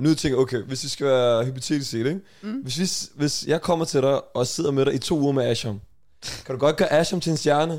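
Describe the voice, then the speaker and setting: With an unremarkable speaking voice, a man talks at a fairly quick pace and a fairly high pitch with ordinary variation, in a very clean recording with a silent background. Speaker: podcast host. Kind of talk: casual chat.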